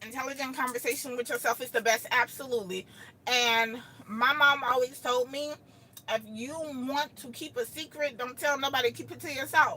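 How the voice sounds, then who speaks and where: A woman with an American accent uses a raised, projected voice at a high pitch, her animated tone swinging widely in loudness over noticeable background noise. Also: moderate pace. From Texas. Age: 40s. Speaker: live streamer. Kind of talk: casual live-stream chat. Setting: live stream.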